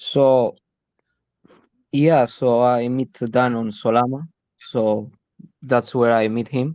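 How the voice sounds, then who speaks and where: A man with a Spanish accent speaks at a very slow pace with long, frequent pauses, medium pitch and fairly even intonation, in a dry, close sound with no echo. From Spain. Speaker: crypto community member and raid leader. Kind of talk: casual group chat on a live audio space.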